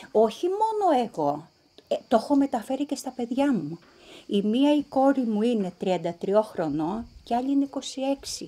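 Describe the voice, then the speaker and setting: A woman speaks fairly slowly in a high, dark and mellow voice. Her pitch swings very widely. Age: 60s. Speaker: descendant of refugees. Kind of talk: interview testimony.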